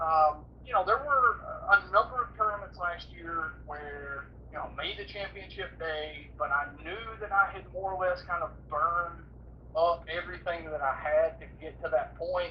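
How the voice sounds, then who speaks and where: A man's loudness rises and falls sharply as he speaks at an even, middling speed against clearly audible background noise. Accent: American. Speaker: professional bass angler. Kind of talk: casual interview chat. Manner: halting, many repeated words.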